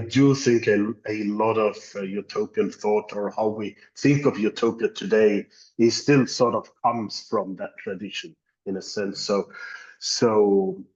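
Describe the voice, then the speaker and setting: A man with a non-native accent speaks at a very slow pace in a fairly low voice with fairly even intonation. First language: not English. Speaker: academic. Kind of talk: panel discussion. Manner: halting.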